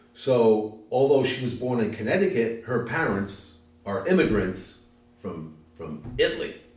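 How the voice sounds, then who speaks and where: Over noticeable background noise and audible room echo, a man with a medium pitch talks fairly slowly with lively intonation. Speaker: interviewee. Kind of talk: interview.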